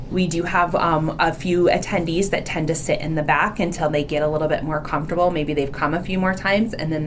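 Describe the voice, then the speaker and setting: A woman's very deep, low voice at a fairly quick pace with hardly any pauses, amid audible room echo and noticeable background noise. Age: 40s. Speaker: hospital education director. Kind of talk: podcast interview. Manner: loud; animated.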